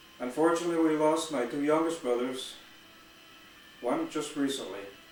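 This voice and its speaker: A man with a fairly high pitch, ordinary pitch variation and an American accent, amid audible room echo and noticeable background noise. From Wisconsin, US Midwest. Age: 70s. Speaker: retired Marine veteran. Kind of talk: personal life story monologue. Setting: at home. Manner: slow, reflective with pauses.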